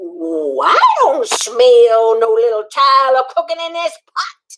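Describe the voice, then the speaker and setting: Cackling in a put-on character voice, the speaker takes a menacing tone at a fairly slow pace. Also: woman, high pitch for a woman. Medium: read story. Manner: cackling, menacing.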